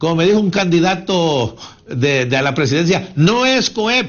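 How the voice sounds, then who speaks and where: Speaking with a high pitch, a man sounds animated, his intonation lively. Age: 70s. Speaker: economic commentator. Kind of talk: interview.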